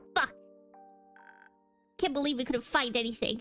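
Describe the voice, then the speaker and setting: A woman speaks in a put-on character voice. Her pitch is high, and her pace is moderate. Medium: fan dub.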